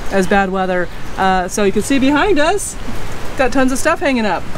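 There is light background noise as a woman talks at a fairly quick pace. Her pitch variation is ordinary. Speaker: travel vlogger. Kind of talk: casual vlog chat. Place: open country. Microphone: phone near.

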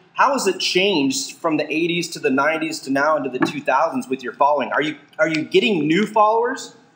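Over noticeable background noise, the speaker talks at a fairly quick pace with lively intonation and hardly any pauses. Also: man, fairly high pitch for a man. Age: 40s. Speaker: podcast co-host. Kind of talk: casual interview. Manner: animated.

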